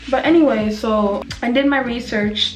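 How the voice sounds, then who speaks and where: Music plays in the background as a woman speaks, her voice carrying an audible room echo. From West Africa. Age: 20s. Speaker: vlogger. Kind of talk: casual chat. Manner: casual.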